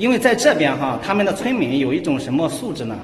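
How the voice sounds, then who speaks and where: Through audible room echo and light background noise, a man talks at a fairly quick pace with lively intonation. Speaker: travel vlogger. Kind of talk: casual vlog chat. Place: hall. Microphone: phone near.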